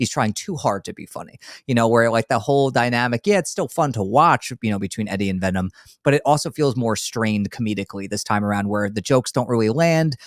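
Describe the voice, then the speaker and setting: A man with a New York accent at a very fast pace, medium pitch with ordinary variation, in a dry, close sound with no echo on a very clean recording with a silent background. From New York, Long Island. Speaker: movie podcast host. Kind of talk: casual chat.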